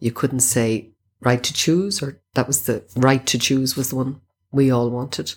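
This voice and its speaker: Delivered at a fairly slow pace, the speech comes in a Dublin accent with fairly even intonation. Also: woman, very deep, low pitch for a woman. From Dublin, Crumlin. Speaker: reproductive rights activist. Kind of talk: interview testimony.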